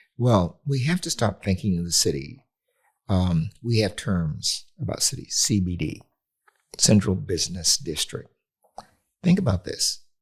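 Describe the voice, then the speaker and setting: Somewhat breathy, a man with an American accent talks at a fairly slow pace. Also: lively intonation. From US West Coast, near Los Angeles. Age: 80s+. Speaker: urban planning expert. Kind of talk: interview conversation.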